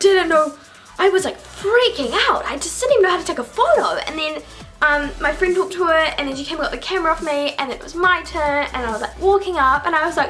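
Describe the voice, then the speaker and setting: With music in the background, a woman with a New Zealand accent and an extremely high pitch talks at a very fast pace with lively intonation. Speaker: YouTuber. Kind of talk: casual vlog. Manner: animated.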